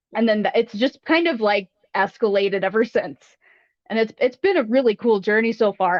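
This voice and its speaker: A woman with an American accent talks at a fairly quick pace and fairly high pitch, keeping very even loudness and ordinary pitch variation. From US South, British mother. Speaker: fossil preparation technician. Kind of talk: casual interview.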